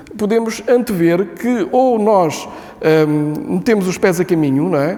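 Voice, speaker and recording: The intonation is lively. Noticeable background noise is audible. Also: man. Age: 70s. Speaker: book presenter. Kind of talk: public speech at book launch. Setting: book launch event with audience. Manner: hesitant, many fillers.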